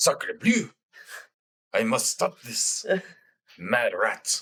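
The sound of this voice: Someone drags out a put-on character voice at a very slow pace. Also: man.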